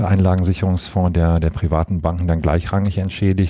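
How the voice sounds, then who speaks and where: A man speaks in a very deep, low pitch with a dark, mellow tone and monotone, flat intonation. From Rhineland, Germany (Monheim am Rhein). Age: 30s. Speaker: mayor. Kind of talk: interview.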